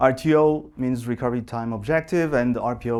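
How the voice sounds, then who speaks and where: A man speaks with a Portuguese accent and ordinary pitch variation. The recording is very clean, with a silent background. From Portugal. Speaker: software engineer. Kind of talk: conference talk. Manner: halting, many fillers.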